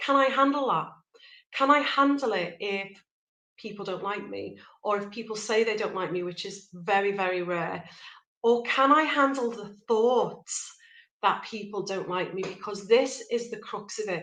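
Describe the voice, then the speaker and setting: In a Liverpool accent, a woman with a bright, sharp tone speaks at medium pitch and a moderate pace, with ordinary pitch variation, big swings in loudness and audible room echo. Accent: Liverpool (Scouse). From Liverpool, northwest England. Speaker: life coach. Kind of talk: motivational talk. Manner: conversational, direct to camera.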